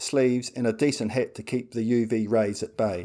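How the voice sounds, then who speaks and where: In a New Zealand accent, a man speaks at a moderate pace with a medium pitch and a dark, mellow tone. The recording is very clean, with a silent background. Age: 60s. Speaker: amateur golfer. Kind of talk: scripted narration.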